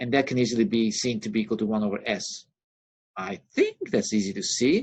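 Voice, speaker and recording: Here a man talks at a fairly quick pace. His pitch varies in an ordinary way. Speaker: university lecturer. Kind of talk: recorded lecture. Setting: recording on a laptop with pen. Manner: fast.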